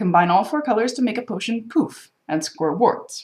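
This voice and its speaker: At a moderate pace, a woman speaks with lively intonation in a fairly high, somewhat breathy voice. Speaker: board game presenter. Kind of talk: game tutorial walkthrough.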